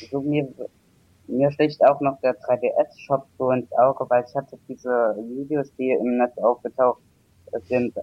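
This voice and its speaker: In a monotone, flat delivery, a man talks fairly slowly at a medium pitch. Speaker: caller. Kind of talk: casual chat. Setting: internet call. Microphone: poor microphone.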